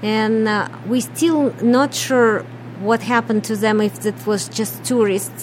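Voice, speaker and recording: The speaker talks with a Russian accent. Noticeable background noise runs under the voice. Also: woman. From Ukraine. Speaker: business owner. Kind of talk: radio interview.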